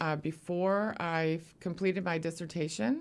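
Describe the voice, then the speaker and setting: In an American accent, a woman talks at a moderate pace with a fairly low pitch. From US Pacific Northwest, Eugene, Oregon. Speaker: history professor. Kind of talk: interview.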